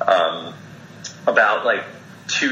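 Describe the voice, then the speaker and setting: The voice belongs to a man. The recording carries noticeable background noise along with audible room echo. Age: 40s. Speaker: health and wellness director. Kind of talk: interview. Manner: hesitant, many fillers and repeats.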